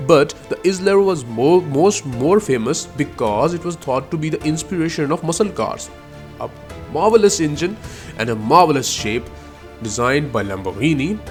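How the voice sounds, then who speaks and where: With music in the background, a man with a non-native accent and a fairly high pitch speaks with very wide pitch swings. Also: moderate pace. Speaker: car history narrator. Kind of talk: documentary voice-over narration.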